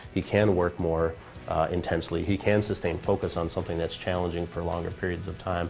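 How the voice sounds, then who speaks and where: Over music in the background, a man with a very deep, low pitch speaks at a fairly quick pace in a monotone, flat intonation. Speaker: brain trainer. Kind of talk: interview answer.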